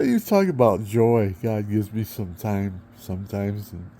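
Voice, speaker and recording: This man's voice has a dark, mellow tone and fairly low pitch. He talks at a very slow pace. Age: 70s. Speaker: vlogger. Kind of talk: casual monologue. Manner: rambling, halting.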